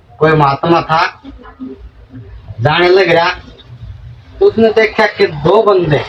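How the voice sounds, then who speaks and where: Speaking with a Haryana accent in a high voice, a man keeps his loudness very even and his pitch variation ordinary, pausing long and often against noticeable background noise. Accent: Haryanvi. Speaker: spiritual preacher. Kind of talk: religious sermon.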